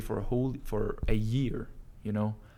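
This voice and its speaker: With a Danish accent, a man of medium pitch speaks at a moderate pace. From Denmark. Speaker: entrepreneur vlogger. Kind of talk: casual vlog monologue. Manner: casual, with frequent fillers.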